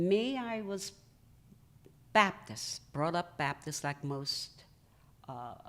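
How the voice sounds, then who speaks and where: A woman with a fairly low pitch speaks at a very slow pace, leaving long, frequent pauses. Her pitch swings very widely. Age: 70s. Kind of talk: interview answer.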